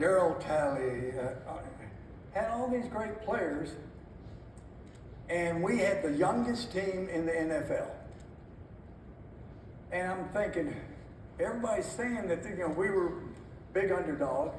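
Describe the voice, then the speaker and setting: Over noticeable background noise, a speaker with lively intonation talks at a fairly slow pace, leaving long, frequent pauses. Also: man, high pitch for a man. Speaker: former NFL head coach, motivational keynote speaker. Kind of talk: keynote speech. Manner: high-energy, motivational.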